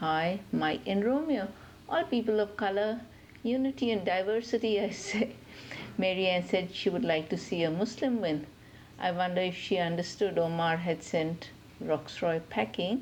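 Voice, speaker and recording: At a moderate pace and medium pitch, a woman talks with very even loudness. It is a plain, everyday voice. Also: ordinary pitch variation. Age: 60s. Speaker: podcast listener. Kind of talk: recorded listener comment.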